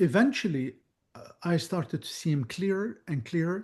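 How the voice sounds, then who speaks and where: A man with an Arabic accent speaks at a fairly slow pace. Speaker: psychic medium. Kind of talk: Q&A chat.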